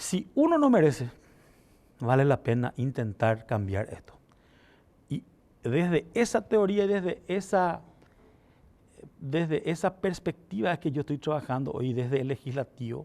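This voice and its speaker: At a fairly slow pace, the voice has a dark, mellow tone, very wide pitch swings and long, frequent pauses. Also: man, fairly high pitch for a man. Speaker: legislator. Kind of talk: TV interview.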